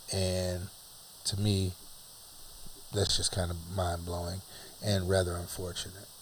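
A man speaks at a fairly slow pace in a very deep, low voice, somewhat breathy and flat in intonation. Long pauses break up his speech often. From US, Huntington. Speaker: father and teacher co-host. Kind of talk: casual chat.

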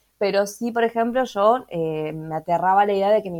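A woman with an ordinary speaking voice and medium pitch talks at a fairly slow pace with ordinary pitch variation on a very clean recording with a silent background. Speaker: podcast co-host, tarot reader, sociologist. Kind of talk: casual chat.

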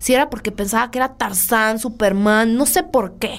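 A woman speaks at a fairly high pitch. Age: 30s. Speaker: podcast host, semiotics student. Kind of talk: casual chat.

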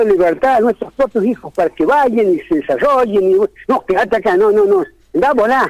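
With very wide pitch swings, a man talks at an extremely high pitch. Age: 60s. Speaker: teachers' union leader. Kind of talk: radio interview. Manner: halting.

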